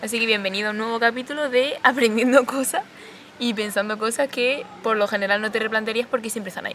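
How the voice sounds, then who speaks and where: Over noticeable background noise, a woman speaks at a very fast pace in a fairly high pitch with fairly even intonation. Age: 20s. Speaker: video essayist. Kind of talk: scripted narration.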